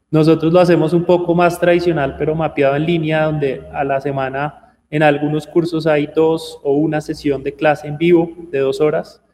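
Fairly high-pitched for a man, his voice has a dark, mellow tone. He speaks at a moderate pace with flat, monotone intonation. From Bogotá, Colombia. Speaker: tech education entrepreneur. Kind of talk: radio interview.

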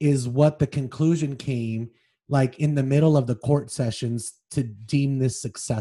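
The speaker has an unforced reading voice. The background is quiet.

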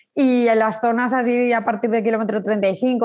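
Moderate pace and fairly high pitch from a woman. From Spain, Zaragoza. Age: 30s. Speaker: amateur runner. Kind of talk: casual interview. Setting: in person. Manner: halting, repeating words.

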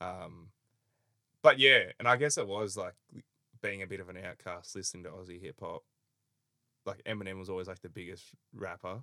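A man with an Australian accent talks at a fairly quick pace in a very deep, low pitch, with ordinary pitch variation and long, frequent pauses. His tone is bright and sharp, his loudness swings widely, and the recording is very clean, dry and close, with no echo and a silent background. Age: 20s. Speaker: podcast host. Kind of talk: casual chat.

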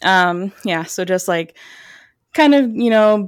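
A woman with an American accent at medium pitch, on a very clean recording with a silent background. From Chicago suburbs, US Midwest. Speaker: IT engineer. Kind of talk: casual storytelling interview.

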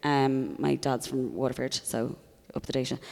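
Someone speaks at a fairly quick pace with an Irish accent. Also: woman. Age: 30s. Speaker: comedian. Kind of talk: casual chat. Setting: stage with audience.

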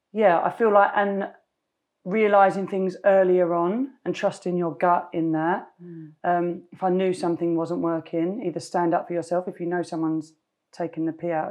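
Someone with a London accent talks at a moderate pace with fairly even intonation over a quiet background. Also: woman. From East London, England. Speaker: fashion brand founder. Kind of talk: interview. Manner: trails off, mumbles.

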